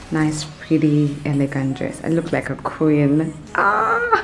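Faint music plays behind a woman whose voice is very deep and low. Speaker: vlogger. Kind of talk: casual vlog chat. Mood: excited, cheerful. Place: home room. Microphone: phone near.

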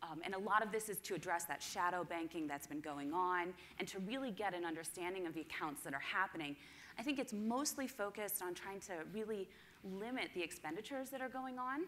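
A woman talks at a very fast pace with lively intonation. Light background noise sits behind her. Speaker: conference presenter. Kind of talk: presentation talk. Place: hall.

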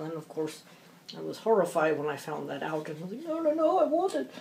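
A woman's moderate pace carries through light background noise. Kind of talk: casual craft chat while working. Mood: amused, chatty. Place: home room. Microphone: phone near.

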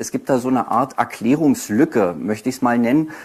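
Moderate tempo and ordinary pitch movement in a male voice of medium pitch. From Berlin, Germany. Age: 40s. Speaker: author and poetry slammer; speaker. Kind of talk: lecture. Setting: university lecture hall with audience. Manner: halting, many fillers. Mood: self-deprecating, slightly nervous. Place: hall.

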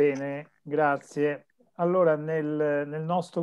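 There's a man talking. Everything behind him is silent. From central Italy. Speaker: course moderator. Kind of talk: online seminar. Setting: video call. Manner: halting. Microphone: video call.

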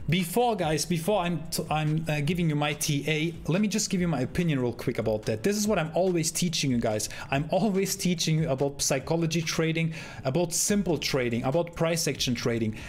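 A man speaking at a fairly quick pace with ordinary pitch variation over music in the background. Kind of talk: commentary. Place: home room.

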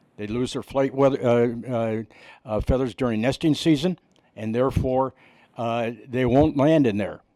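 On a very clean recording with a silent background, a man with an American accent speaks at medium pitch in a dark, mellow tone with fairly even intonation. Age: 80s+. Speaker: resident speaking at public meeting. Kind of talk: public comment. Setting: city planning commission meeting. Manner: halting, many fillers and restarts.

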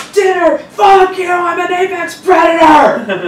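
Shouting in an extremely high-pitched, put-on character voice, the speaker goes at a fairly slow pace, with slight echo and light background noise. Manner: screaming, defiant.

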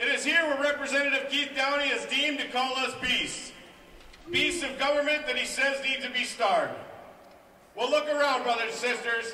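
A man with an American accent projects a raised voice at an extremely high pitch for a man, with fairly even intonation. His moderate pace carries audible room echo and light background noise. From Minnesota. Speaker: highway maintenance worker; speaker. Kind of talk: rally speech. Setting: outdoors at rally. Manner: indignant, rousing. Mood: defiant, indignant. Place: street.

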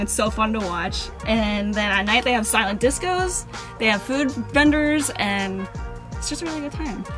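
A woman speaks at a moderate pace with clear music in the background. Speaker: vlogger. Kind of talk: casual vlog chat. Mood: cheerful, excited. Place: car. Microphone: phone near.

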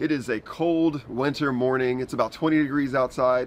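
A man with an American accent, very fast pace, fairly even intonation, and light background noise. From Southeastern North Carolina. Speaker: barbecue cook. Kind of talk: casual cooking talk to camera. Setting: outdoors. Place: garden.

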